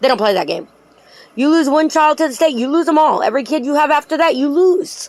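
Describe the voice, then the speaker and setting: A woman's animated tone. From Puerto Rican heritage. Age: 40s. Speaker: YouTube true crime commentator. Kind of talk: casual monologue commentary.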